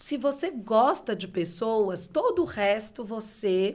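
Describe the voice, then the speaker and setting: With lively intonation and a fairly high pitch, a woman speaks in a northeastern Brazilian accent against noticeable background noise. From Bahia, Salvador, northeastern Brazil. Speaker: beauty entrepreneur, former university lecturer. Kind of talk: podcast interview.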